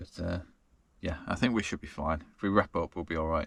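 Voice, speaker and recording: A man speaks at a moderate pace in a bright, sharp tone. The recording is very clean with a silent background. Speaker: travel vlogger. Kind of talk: casual vlog talk to camera. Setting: in a camper van at night. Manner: slurring.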